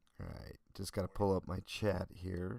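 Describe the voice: A man's low-pitched voice with vocal fry and a slightly mellow tone.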